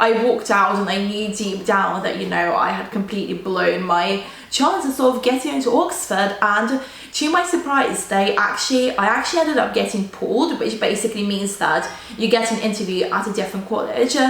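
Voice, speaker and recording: A woman speaks at a fairly quick pace with a fairly high pitch. Audible room echo and noticeable background noise surround her voice. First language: Russian. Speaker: student vlogger. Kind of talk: casual storytelling vlog. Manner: casual, filler-heavy.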